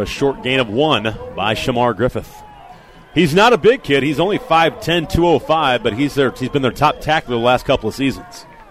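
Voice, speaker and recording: Over music in the background, a man speaks at a fairly high pitch in an animated tone with very wide pitch swings. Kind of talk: live play-by-play football commentary. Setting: stadium broadcast booth. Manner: fast, rhythmic, animated play-by-play delivery, calling each snap as it unfolds; emphatic and opinionated, quick to judge plays.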